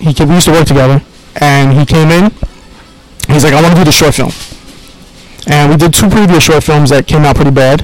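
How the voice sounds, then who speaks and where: Speaking very fast with long, frequent pauses, a man with a New York accent has a fairly high pitch and fairly even intonation. His loudness stays very even over noticeable background noise. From Queens, New York. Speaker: film director. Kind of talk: interview.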